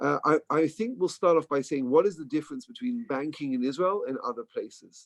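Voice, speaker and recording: A man with an English accent speaks at a fairly quick pace. His pitch is fairly high. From England. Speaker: bank employee. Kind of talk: informational talk.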